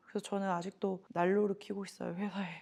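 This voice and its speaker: A woman speaks with a dark, mellow tone. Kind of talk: casual talk to camera. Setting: studio.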